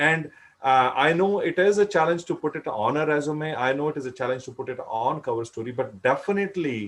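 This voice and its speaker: At a fairly quick pace, a man speaks at a fairly high pitch in a Punjabi accent. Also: ordinary pitch variation. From India, Punjab. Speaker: career advice speaker. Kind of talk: panel discussion.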